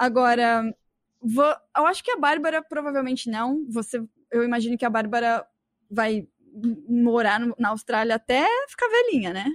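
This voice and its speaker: Recorded with a dry, close sound and no echo, a woman speaks at a moderate pace and a high pitch, using ordinary pitch variation and long, frequent pauses. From Brazil. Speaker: podcast host. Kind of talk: casual chat.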